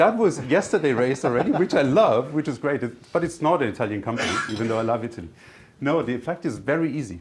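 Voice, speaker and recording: A man with a German accent talks with lively intonation. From Germany. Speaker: tech company executive. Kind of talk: business presentation.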